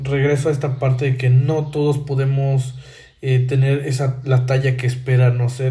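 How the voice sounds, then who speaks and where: A somewhat breathy man talks in a monotone, flat delivery, with audible room echo around him. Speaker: podcast host. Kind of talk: solo monologue commentary. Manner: halting, many fillers and repetitions.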